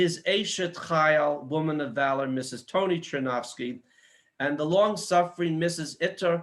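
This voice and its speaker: A man speaks in a plain, everyday voice, pitched fairly high. His pace is moderate and his pitch moves in an ordinary way. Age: 60s. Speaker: event host and organization founder. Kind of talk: formal event introduction. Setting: video call from his home kitchen.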